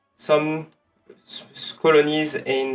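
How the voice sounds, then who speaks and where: A man with a strong French accent talks at a fairly slow pace with fairly even intonation over music in the background. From France. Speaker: streamer. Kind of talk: gameplay livestream commentary. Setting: livestream. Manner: halting, many fillers. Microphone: some echo.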